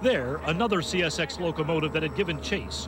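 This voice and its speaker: Talking at a fairly quick pace, a man with a plain, everyday voice has a fairly high pitch. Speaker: network news correspondent. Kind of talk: TV news report.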